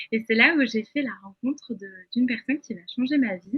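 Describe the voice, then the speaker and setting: With ordinary pitch variation, the woman talks in a fairly high register. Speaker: image consultant, webinar speaker. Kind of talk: webinar presentation. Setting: online webinar. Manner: halting, many fillers.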